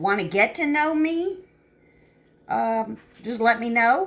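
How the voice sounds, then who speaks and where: In a Southern US accent, a woman with a fairly high voice speaks with very wide pitch swings. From upstate New York. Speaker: home cook vlogger. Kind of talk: casual chat. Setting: home kitchen. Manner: rambling, filler-heavy casual talk.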